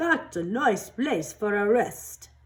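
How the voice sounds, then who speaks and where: In a put-on character voice, a female-sounding speaker uses a fairly high, sing-song delivery. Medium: read story. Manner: sing-song calling.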